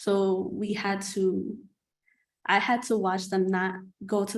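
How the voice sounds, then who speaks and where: A woman with a medium pitch speaks, and room echo is audible around her. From New York City. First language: not English. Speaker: nursing student. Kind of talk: panel discussion.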